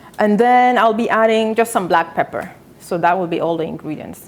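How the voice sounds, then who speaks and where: A woman speaks with a non-native accent at a moderate pace. Her medium-pitched voice has lively intonation. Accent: foreign. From South Sudan. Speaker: cooking show host. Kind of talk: live cooking demonstration. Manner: casual, hesitant with fillers.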